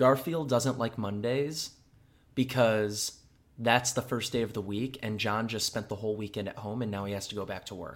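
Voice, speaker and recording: In a General American accent, a normal speaking voice moves at a moderate pace with fairly even intonation on a very clean recording with a silent background. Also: man, medium pitch for a man. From US Midwest. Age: 20s. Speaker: podcast host. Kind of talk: casual chat. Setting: studio.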